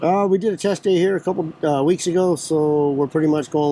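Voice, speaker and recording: Talking at a very fast pace, a man shows ordinary pitch variation while noticeable background noise runs behind him. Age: 40s. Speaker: dirt track racer. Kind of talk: casual interview at race pits. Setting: outdoors at a racetrack. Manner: hesitant with many uh fillers.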